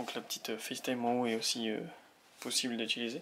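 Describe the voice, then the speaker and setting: A quiet man at a medium pitch and fairly quick pace, with noticeable background noise. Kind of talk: product unboxing talk to camera. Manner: quiet, low volume.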